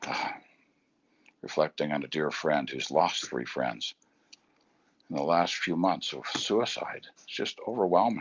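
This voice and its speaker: A man with a very deep, low pitch and vocal fry, at a fairly slow pace, with lively intonation, big swings in loudness and long, frequent pauses. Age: 60s. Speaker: motivational speaker and business coach. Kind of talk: motivational talk. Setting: outdoors on a bridge at home, live video. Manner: reflective.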